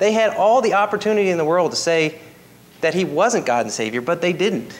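Over light background noise, a man talks at a fairly quick pace with lively intonation. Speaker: preacher. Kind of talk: sermon. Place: church.

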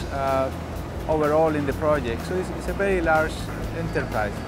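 Clear music plays behind a man's voice, and the sound is dry with no echo. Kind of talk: interview answer. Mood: proud, positive. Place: open country. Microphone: lapel.

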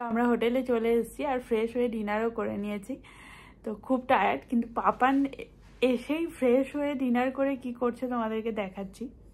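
A woman speaks in a high voice. Her intonation is fairly even. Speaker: family vlogger. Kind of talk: casual vlog chat. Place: home room. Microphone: phone near.

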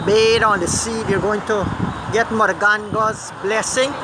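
Noticeable background noise, dry sound with no echo. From Guyana. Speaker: video blogger. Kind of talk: casual commentary and interviews. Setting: outdoors. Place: waterside. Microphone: phone near.

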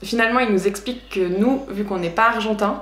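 Light background noise and audible room echo. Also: woman. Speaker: travel vlogger. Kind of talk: casual vlog storytelling. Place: home room.

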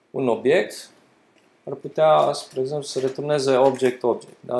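A man's medium-pitched voice with a slightly mellow tone.

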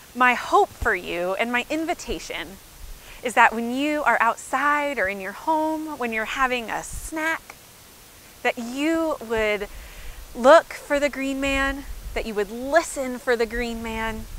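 A woman at a high pitch, fairly slow, with a dry sound with no echo and light background noise. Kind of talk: children's sermon. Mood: warm, gentle, cheerful. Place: open country. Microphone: lapel.

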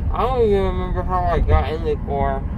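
Talking at a very fast pace, a man is recorded dry with no echo amid noticeable background noise. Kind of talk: casual drowsy chat. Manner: drowsy, slurred, bewildered. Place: car. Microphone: phone near.

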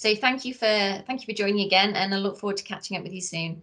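A woman's bright, sharp tone with ordinary pitch variation against a quiet background. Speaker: research centre director. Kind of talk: interview. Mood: friendly, polite. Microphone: video call.

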